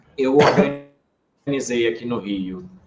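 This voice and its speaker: There is music in the background as a man speaks. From Brazil, Rio de Janeiro. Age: 30s. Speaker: political marketing strategist. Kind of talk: podcast interview.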